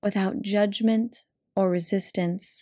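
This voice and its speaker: This woman's voice is somewhat breathy, with a dark, mellow, soothing tone at medium pitch. She talks at a very slow pace with ordinary pitch variation. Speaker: healing coach and podcast host. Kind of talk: guided meditation. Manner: soft, slow, soothing.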